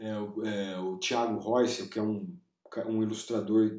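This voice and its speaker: A man speaks with a medium pitch and a dark, mellow tone. His intonation is fairly even. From Brazil, Piracicaba (São Paulo state interior). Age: 40s. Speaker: illustrator. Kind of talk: interview. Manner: hesitant, many fillers.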